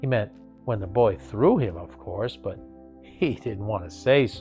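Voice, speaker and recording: A man talks fairly slowly while music plays behind him. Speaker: actor. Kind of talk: bedtime story reading. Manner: calm, rhythmic pacing.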